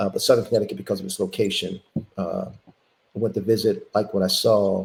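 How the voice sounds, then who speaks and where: The speaker has a Philadelphia accent. The pace is fairly quick. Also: man. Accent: Philadelphia American. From Philadelphia, US. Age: 60s. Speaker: former college basketball player. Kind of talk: interview.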